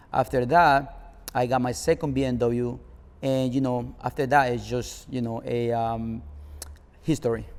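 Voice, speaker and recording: Speaking at a fairly slow pace, a man with a Spanish accent keeps a medium pitch and fairly even intonation. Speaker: car club founder. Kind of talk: interview. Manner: hesitant, many fillers.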